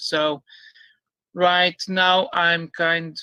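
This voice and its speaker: This man has a high pitch and a bright, sharp tone, delivered in a flat monotone. The recording is very clean and dry, close-sounding, with a silent background and no echo. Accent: non-native. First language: not English. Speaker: YouTuber, concave earth proponent. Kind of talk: debate. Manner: halting.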